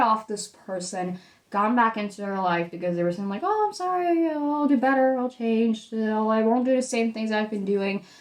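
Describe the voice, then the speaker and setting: This woman talks at a fairly quick pace in a Dutch accent. Her voice is fairly high, with lively intonation. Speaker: tarot reader. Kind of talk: tarot reading. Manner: casual, hesitant.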